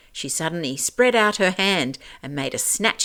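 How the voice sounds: Lively intonation stands out. It comes in a natural reading voice.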